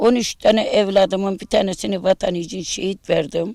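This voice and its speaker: The speech moves at a fairly slow pace, in a dry, close sound with no echo. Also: woman. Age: 60s. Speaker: bereaved mother of a martyr. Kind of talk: news interview testimony.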